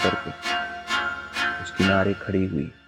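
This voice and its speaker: A man speaks with music in the background. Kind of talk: horror story narration.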